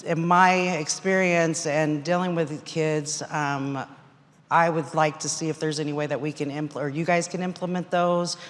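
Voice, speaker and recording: Her very deep, low pitch comes through as a woman speaks in monotone, flat intonation. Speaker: court clerk asking audience question. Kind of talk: audience question at conference. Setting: audience microphone at conference session. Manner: loud.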